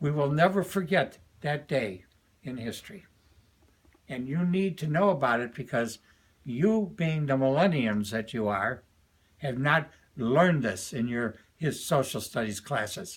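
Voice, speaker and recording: A somewhat breathy man with a fairly high pitch, lively intonation and long, frequent pauses. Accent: American. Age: 80s+. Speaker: retired educator and commentator. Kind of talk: political and religious commentary to camera.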